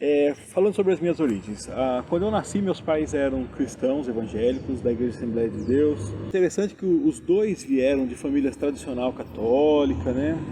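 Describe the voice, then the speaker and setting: This man's voice sits fairly high, and his intonation is lively. He speaks at a moderate pace over noticeable background noise. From interior of São Paulo state, Brazil. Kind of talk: interview. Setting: outdoors in a town square.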